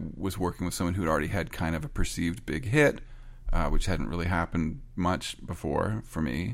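A fairly quick-paced man with a Canadian accent and a very deep, low pitch. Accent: Canadian pronunciation. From Canada. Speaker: record producer and songwriter. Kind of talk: interview. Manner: halting.

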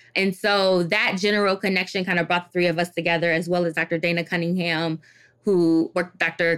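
A woman's fairly low-pitched voice in a monotone, flat intonation, at a fairly quick pace with very even loudness, on a very clean recording with a silent background. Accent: American. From Detroit, Michigan, US. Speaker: clinical psychologist. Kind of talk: interview.

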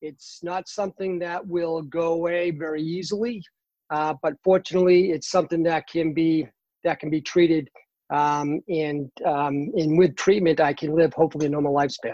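The speaker talks at a moderate pace in a Boston accent. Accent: Boston accent, dropped R's. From Boston, Massachusetts. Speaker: cancer patient, runner. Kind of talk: casual interview. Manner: animated, uses hands when excited.

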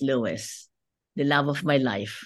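A woman speaks with a Filipino accent. Her pitch is very deep and low. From Philippines. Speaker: businesswoman and lawyer. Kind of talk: interview.

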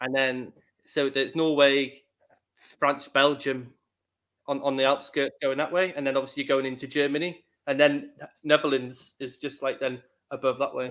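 The delivery is monotone and flat at a moderate pace. Long, frequent pauses break it up against a quiet background. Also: man, fairly high pitch for a man. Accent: Welsh. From Wales. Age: 30s. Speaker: podcast host. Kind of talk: interview. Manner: halting.

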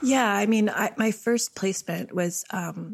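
With a Canadian accent, a woman speaks at a moderate pace in an unremarkable speaking voice with ordinary pitch variation. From Canada, Ottawa. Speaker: book designer and writer. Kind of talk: interview conversation.

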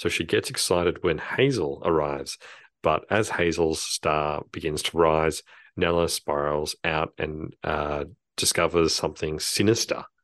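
With an Australian accent, a man talks at a fairly slow pace in a very deep, low voice with fairly even intonation, over a quiet background in a dry, close sound with no echo. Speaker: podcast co-host, film reviewer. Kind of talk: casual chat.

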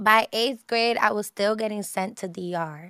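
A woman speaks with an American accent in a dry, close sound with no echo. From New York, Harlem; Dominican family. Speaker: rapper and singer. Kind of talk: interview conversation. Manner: casual, laid-back.

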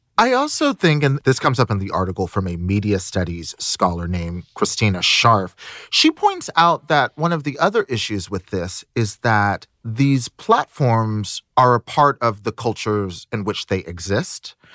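In a very clean, dry, close recording with no echo and a silent background, a man with a normal speaking voice talks at medium pitch and a moderate pace, his intonation lively and hardly any pauses in his speech. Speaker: podcast host. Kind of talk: casual chat.

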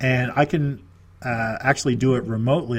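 This man has an ordinary speaking voice with a Canadian accent, a medium pitch and ordinary pitch variation. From Nova Scotia, Canada. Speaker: real estate investor and business consultant. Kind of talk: interview.

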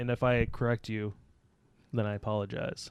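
A man on a very clean recording with a silent background, with a dry, close sound and no echo. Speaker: podcast co-host. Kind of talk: casual banter. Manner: sarcastic, joking.

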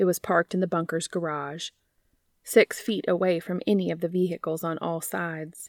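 A woman speaks at a moderate pace in a normal speaking voice, her pitch fairly low. The sound is dry and close with no echo, on a very clean recording with a silent background. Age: 30s. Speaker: fan fiction podcast host and reader. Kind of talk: reading aloud fan fiction; casual chat.

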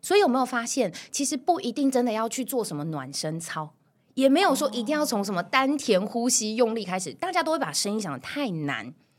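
With vocal fry and very wide pitch swings, a woman speaks fairly quickly in a fairly high voice. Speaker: voice coach. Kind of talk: interview. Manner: clear articulation.

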